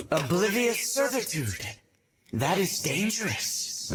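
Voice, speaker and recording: Putting on a character voice, a man speaks at a fairly slow pace in a high pitch. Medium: fan dub. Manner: serious, deliberate.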